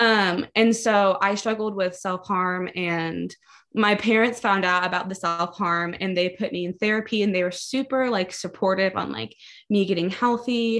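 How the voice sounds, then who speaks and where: A woman with an American accent has an unremarkable speaking voice at a medium pitch with ordinary variation. She talks at a moderate pace against a quiet background. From Maryland, US. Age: 20s. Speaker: barista. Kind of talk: testimony.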